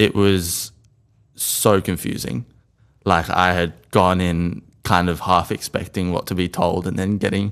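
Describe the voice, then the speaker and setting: An Australian-accented man speaks at a fairly slow pace with a very deep, low pitch and fairly even intonation, on a very clean recording with a silent background. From Australia, Sydney inner west. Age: 20s. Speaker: mental health storyteller. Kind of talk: interview.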